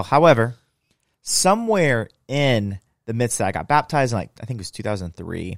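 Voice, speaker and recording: This man talks at a very fast pace with an American accent, a medium pitch, lively intonation and an animated tone, his loudness swinging a lot. The sound is dry and close with no echo, on a very clean recording with a silent background. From US Midwest, Indiana. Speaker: leadership podcast host, pastor's kid. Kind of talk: casual faith-based podcast conversation and personal testimony.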